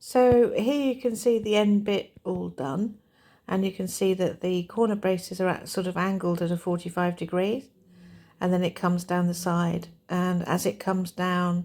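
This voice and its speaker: A woman's dark, mellow voice at medium pitch and moderate pace, in a very clean recording with a silent background. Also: ordinary pitch variation. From southeast England. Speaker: homesteading vlogger. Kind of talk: casual tutorial.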